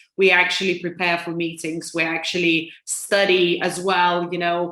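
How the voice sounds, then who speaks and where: A woman with a Lithuanian accent speaks in a fairly low pitch. Her tone is bright and sharp. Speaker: financial advisor. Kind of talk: interview. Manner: hesitant, many fillers.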